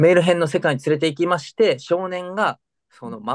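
A man with a high pitch talks at a fairly quick pace, and the sound is dry and close with no echo. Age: 40s. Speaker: podcast co-host, entertainment industry worker. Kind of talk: casual chat.

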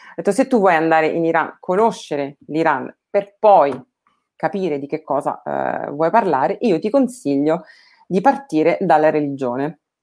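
A woman speaks at a moderate pace with a very deep, low pitch. Her intonation is lively. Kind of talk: casual interview chat. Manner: halting, hesitant.

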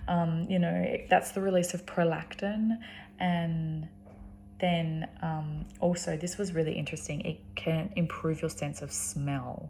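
In an Australian accent, a woman speaks at a fairly slow pace with a fairly low pitch, ordinary pitch variation, and a dark, mellow, somewhat breathy tone. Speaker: sex worker and video host. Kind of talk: solo video monologue discussing research. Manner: halting, filled with ums and word-finding pauses.

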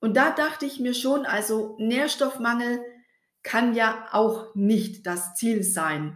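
A woman with a fairly high pitch speaks at a very slow pace with ordinary pitch variation. There is audible echo in the room. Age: 40s. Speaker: podcast host and skin health coach. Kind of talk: personal storytelling monologue.

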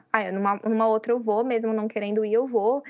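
Her pitch fairly high, a woman talks at a fairly quick pace in a monotone, flat intonation. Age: 20s. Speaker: university student. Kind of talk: casual chat.

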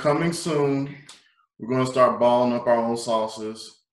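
A man with a South Carolina accent at medium pitch, fairly slow and fairly even in intonation, with audible room echo. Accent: Southern US (South Carolina). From US South, South Carolina (Pee Dee region). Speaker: podcast co-host. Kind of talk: casual interview.

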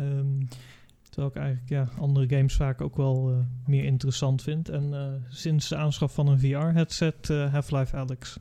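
Over a quiet background, a man with a fairly high pitch speaks at a fairly slow pace, his somewhat breathy voice dark and mellow in tone, with monotone, flat intonation. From Curaçao. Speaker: design teacher. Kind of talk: casual chat.

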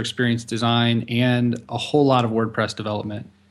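At a moderate pace, a man with a medium pitch and a plain, everyday voice speaks in a very clean recording with a silent background. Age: 20s. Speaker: web designer and agency partner. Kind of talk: casual chat.

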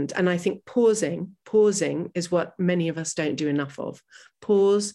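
A woman speaks with an American accent at a moderate pace, in a normal speaking voice. Her pitch is fairly low, with ordinary variation. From US, New York City. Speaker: travel journalist. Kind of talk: interview.

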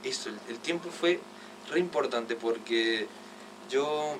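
At a moderate pace, a man's voice comes through noticeable background noise. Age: 20s. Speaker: musician. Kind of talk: casual interview.

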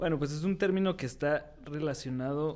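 A fairly high pitch marks this voice. The speaker is a man. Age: 20s. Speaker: podcast co-host, political scientist. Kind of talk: casual chat.

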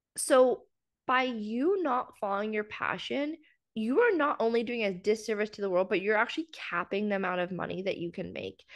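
In a Canadian accent, a woman with a normal speaking voice talks at a fairly quick pace, pitched fairly high, with lively intonation. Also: quiet background. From central Canada, small town. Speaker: business mindset coach. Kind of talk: casual interview.

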